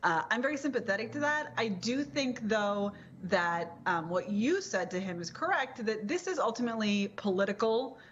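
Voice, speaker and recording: With a plain, everyday voice, a woman talks at a moderate pace in a fairly high pitch, using lively intonation and hardly any pauses. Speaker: political commentator, guest on TV show. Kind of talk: TV panel discussion answer.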